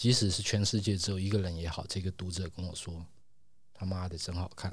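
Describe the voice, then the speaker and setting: This man's voice is very deep and low in pitch, somewhat breathy, and quiet. His intonation stays fairly even. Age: 50s. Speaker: comic artist. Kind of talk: interview. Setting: studio. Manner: slow, deliberate; reserved, quiet.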